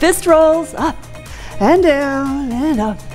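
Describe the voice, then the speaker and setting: The woman's delivery is extremely slow. Music can be faintly heard behind her. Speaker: fitness trainer. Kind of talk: workout instruction. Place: gym.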